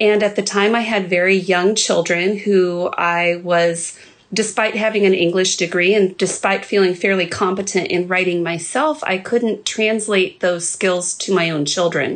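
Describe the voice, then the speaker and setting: A woman with a normal speaking voice and medium pitch talks at a moderate pace with hardly any pauses, fairly even intonation and very even loudness. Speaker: blog curator and writing teacher. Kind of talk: casual chat.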